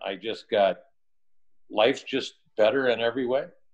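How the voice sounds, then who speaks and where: At a fairly slow pace, a man speaks in an unremarkable speaking voice with a medium pitch. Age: 50s. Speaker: health coach. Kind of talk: testimony.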